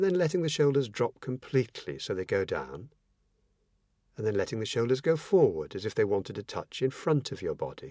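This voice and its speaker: The speech moves at a fairly quick pace. The recording is very clean, with a silent background. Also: man. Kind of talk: guided meditation.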